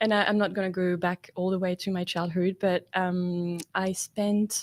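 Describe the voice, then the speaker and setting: A woman's medium-pitched voice with a French accent, monotone and flat, at a moderate pace and very even loudness, dry and close with no echo, in a very clean recording with a silent background. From France, French Alps. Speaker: startup founder. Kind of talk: interview.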